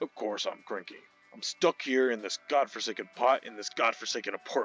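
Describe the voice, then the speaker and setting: A man's gruff, put-on character voice at medium pitch and a fairly quick pace, with big swings in loudness. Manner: cranky, complaining.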